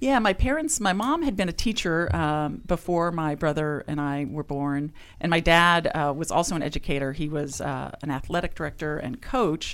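With a normal speaking voice, a woman with an American accent talks at a moderate pace in a fairly low voice, her intonation lively and her speech hardly pausing. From California. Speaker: nonprofit CEO. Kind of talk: radio interview.

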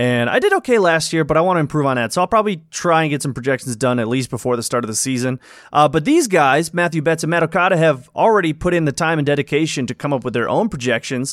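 On a very clean recording with a silent background, a man with a fairly high pitch and lively intonation races along at a very fast pace with hardly any pauses. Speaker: former podcast host. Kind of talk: casual chat.

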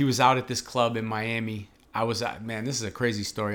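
In a Boston accent, a man talks with monotone, flat intonation. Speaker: podcast host. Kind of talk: casual interview. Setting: restaurant.

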